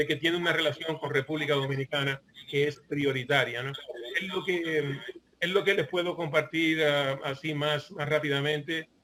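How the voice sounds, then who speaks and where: The voice moves at a moderate pace with fairly even intonation against noticeable background noise. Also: man, fairly high pitch for a man. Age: 60s. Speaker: online portal founder, commentator. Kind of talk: panel discussion remarks. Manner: halting, many fillers and repetitions.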